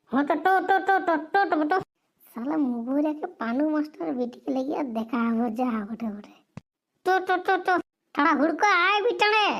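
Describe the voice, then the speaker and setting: A woman puts on a cartoonish character voice pitched high. She keeps a moderate pace. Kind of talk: comic overacting. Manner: fast, rambling, stuttering.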